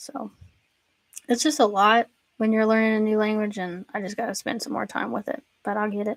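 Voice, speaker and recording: A woman with a Southern accent talks fairly quickly in a fairly high voice, with fairly even intonation and long, frequent pauses. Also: dry, close sound with no echo. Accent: Southern, self-described pronunciation issues. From US South, Tennessee. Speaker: Bible teacher. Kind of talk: casual chat. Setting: livestream. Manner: many filler words.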